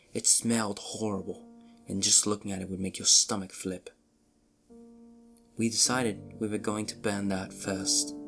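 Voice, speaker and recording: A man's fairly low voice with lively intonation at a moderate pace, over music in the background. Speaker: narrator. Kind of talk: horror story reading.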